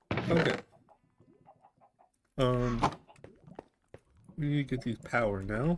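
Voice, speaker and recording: Quiet and very slow, a man talks at a medium pitch with ordinary pitch variation. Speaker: vtuber gamer. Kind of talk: let's play commentary. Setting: home, window open.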